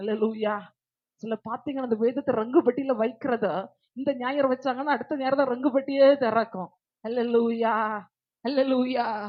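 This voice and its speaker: A woman speaks in a high voice. She is loud. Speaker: preacher. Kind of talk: sermon.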